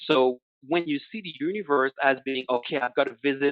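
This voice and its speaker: The speech comes at a moderate pace. It is delivered with a French accent. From Quebec. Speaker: analytics consultant. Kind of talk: webinar presentation. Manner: halting, many fillers.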